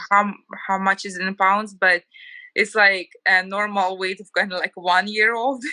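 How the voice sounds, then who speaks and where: A woman with a Ukrainian accent and medium pitch speaks at a moderate pace in a monotone, flat intonation, with big swings in loudness and a dry, close sound with no echo. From Ukraine. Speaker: homemaker, former TV journalist. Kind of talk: casual interview.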